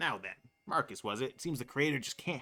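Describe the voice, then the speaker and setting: This is a put-on character voice. The delivery races along at a very fast pace. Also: man. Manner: menacing, taunting.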